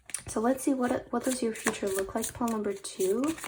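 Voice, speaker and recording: A woman speaks at a moderate pace with ordinary pitch variation. Noticeable background noise can be heard. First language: not English. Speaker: tarot reader. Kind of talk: tarot reading. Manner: frequent fillers (um, uh); hesitant, repeats words.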